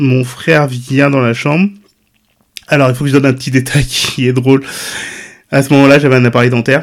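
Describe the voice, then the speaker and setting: A man with a medium pitch talks at a fairly quick pace in a monotone, flat way. His speech has long, frequent pauses. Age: 40s. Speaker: web designer and content creator. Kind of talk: personal testimony. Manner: talkative.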